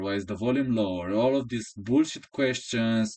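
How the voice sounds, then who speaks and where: A man with a Romanian accent and ordinary pitch variation, against a quiet background. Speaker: chess coach and YouTuber. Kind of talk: casual monologue. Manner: halting.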